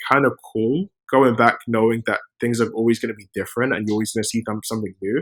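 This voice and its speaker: A man speaks at a medium pitch with a British accent. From London, England. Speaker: software engineer and startup founder. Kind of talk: podcast interview. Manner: casual, with many fillers and repetitions.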